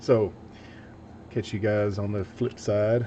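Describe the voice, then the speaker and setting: A man speaks at a fairly slow pace with a slight Southern US accent. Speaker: DIY electronics YouTuber. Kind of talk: casual livestream chat while building. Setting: workbench livestream. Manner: casual, chatty.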